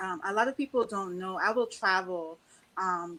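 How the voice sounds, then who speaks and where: Talking at a fairly quick pace, a woman speaks with a Trinidadian accent. Her pitch is medium. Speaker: panelist. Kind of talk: panel discussion.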